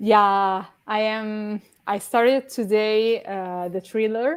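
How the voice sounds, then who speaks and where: In a very clean recording with a silent background, a woman with an Italian accent speaks very slowly, her pitch varying in an ordinary way. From Italy. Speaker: readathon co-host. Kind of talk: casual chat. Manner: halting.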